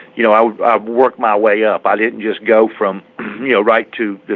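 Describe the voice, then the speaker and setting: Noticeable background noise runs under this recording. A man with an American accent talks at a moderate pace. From USA. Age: 60s. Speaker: motorcycle drag racer. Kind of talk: interview. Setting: phone call. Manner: halting.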